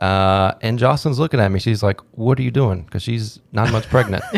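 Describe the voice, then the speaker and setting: An unremarkable speaking voice with an American accent moves at a fairly quick pace, its intonation fairly even. The recording is very clean with a silent background. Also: man. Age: 20s. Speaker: insurance agent. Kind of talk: casual chat.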